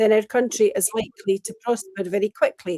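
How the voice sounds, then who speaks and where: In an unremarkable speaking voice, a woman talks at a moderate pace with fairly high pitch and ordinary pitch variation, recorded with a dry, close sound and no echo. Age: 60s. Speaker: pro-independence party member. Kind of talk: political discussion show interview.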